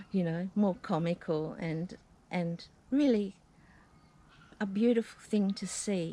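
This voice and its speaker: A woman's very slow delivery in a dark, mellow tone, broken by long, frequent pauses. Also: medium pitch for a woman, ordinary pitch variation. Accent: Australian. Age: 70s. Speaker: vlogger, retired aged care worker. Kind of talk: casual vlog talk. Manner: chatty, with fillers.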